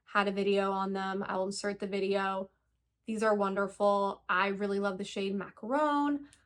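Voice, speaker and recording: In a normal speaking voice, a woman of medium pitch talks at a moderate pace with fairly even intonation, recorded very cleanly against a silent background. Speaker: beauty youtuber. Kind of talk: product review.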